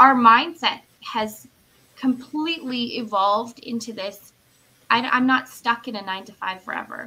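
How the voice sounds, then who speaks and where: A woman talks at a moderate pace with a fairly high pitch and ordinary pitch variation, in a normal speaking voice. Her loudness swings widely. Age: 30s. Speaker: business owner. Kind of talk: casual chat.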